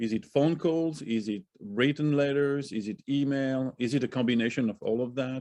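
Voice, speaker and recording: A man with a non-native accent speaks at a moderate pace, with hardly any pauses. His pitch is medium, with ordinary pitch variation. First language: not English. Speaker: audience member asking questions. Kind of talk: Q&A question.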